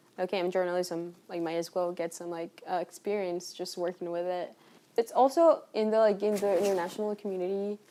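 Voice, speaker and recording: In a very clean recording with a silent background, a woman with a Spanish accent speaks fairly quickly at medium pitch, with a dark, mellow tone and fairly even intonation. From Colombia. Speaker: university student. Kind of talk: casual interview.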